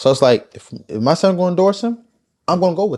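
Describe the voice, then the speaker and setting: A man with a Baltimore accent speaks in an animated tone. His pace is very fast. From Baltimore, Maryland. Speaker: podcast guest. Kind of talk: casual chat.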